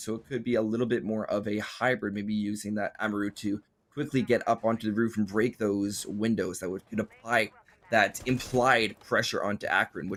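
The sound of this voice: Using a put-on character voice, a man speaks raspily at a moderate pace and medium pitch.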